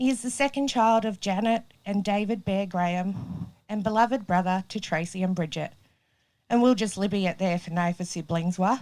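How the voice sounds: A woman's medium-pitched, slightly mellow voice at a moderate pace with ordinary pitch variation.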